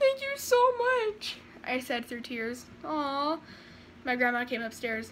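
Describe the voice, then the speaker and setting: Over light background noise, a woman uses a raised, projected voice at a fairly slow pace with ordinary pitch variation. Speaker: vlogger reading fan fiction. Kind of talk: dramatic story reading. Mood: playful, acts out lines. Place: home room. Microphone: phone near.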